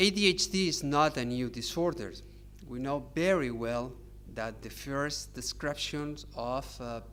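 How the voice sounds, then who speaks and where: With a Catalan accent, a man speaks at a fairly slow pace, his loudness swinging a lot. Audible room echo surrounds his voice. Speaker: psychiatrist. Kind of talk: lecture. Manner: halting.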